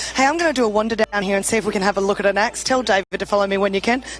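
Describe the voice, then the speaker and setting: With an Australian accent, a woman with a fairly high pitch speaks at a very fast pace and with fairly even intonation over noticeable background noise. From New South Wales. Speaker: show TV presenter. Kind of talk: live interview.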